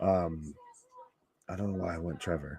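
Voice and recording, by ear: A man speaks at a moderate pace in a low, gravelly voice with vocal fry and a slightly husky edge. His tone is dark and mellow. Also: fairly even intonation.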